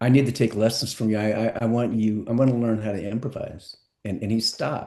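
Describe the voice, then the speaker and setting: Somewhat breathy and dark, mellow in tone, a man talks at a fairly quick pace. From San Francisco, California. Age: 60s. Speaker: entertainment lawyer and musician. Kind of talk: podcast interview.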